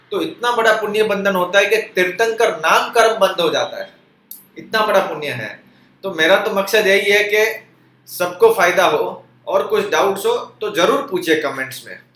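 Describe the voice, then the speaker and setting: Audible room echo and noticeable background noise surround a man with high pitch and ordinary pitch variation. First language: Gujarati or Kutchi (speaking Hindi). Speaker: religious YouTuber. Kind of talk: informal religious talk. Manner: conversational.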